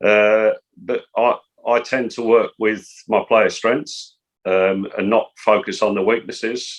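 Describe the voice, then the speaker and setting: A very slow man with an English accent. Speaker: football coach. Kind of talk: interview. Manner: soft-spoken.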